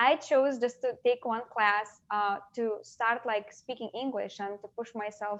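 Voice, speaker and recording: With a Lithuanian accent, a woman speaks at a fairly high pitch with ordinary pitch variation against a quiet background. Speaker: interview guest. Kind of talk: casual interview conversation. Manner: halting, many fillers.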